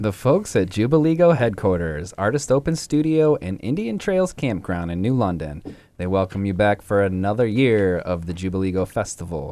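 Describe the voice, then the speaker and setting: Speaking at a moderate pace with hardly any pauses, a man has a fairly low pitch, a dark, mellow tone and very wide pitch swings. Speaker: radio co-host. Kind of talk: radio dj patter, joking. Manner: laid-back, jokey, laughs often.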